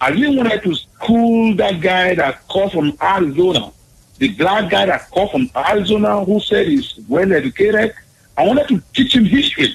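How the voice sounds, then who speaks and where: A man's high-pitched voice with a Nigerian accent, lively intonation, a moderate pace and very even loudness. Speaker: caller. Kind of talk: call-in chat.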